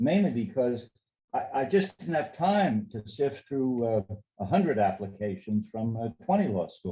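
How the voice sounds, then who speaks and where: Somewhat breathy and dark, mellow in tone, a man speaks at a medium pitch and a fairly slow pace with very wide pitch swings. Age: 80s+. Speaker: federal judge. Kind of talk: interview answer.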